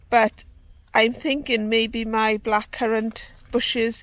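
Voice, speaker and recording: In a very clean recording with a silent background, a woman with a Welsh accent speaks fairly slowly at a fairly high pitch with monotone, flat intonation. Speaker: gardening vlogger. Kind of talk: casual vlog talk to camera. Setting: outdoors. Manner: hesitant with fillers.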